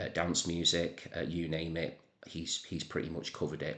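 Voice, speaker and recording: A man with a northern English accent speaks at a moderate pace in a very deep, low voice with a bright, sharp tone. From northern England. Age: 40s. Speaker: music channel creator. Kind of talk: casual monologue to camera. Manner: hesitant, many fillers and repeats.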